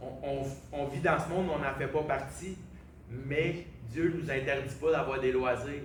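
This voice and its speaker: A man with a Quebec accent and fairly high pitch is heard with audible room echo and noticeable background noise. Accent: Québécois French. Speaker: preacher. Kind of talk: sermon.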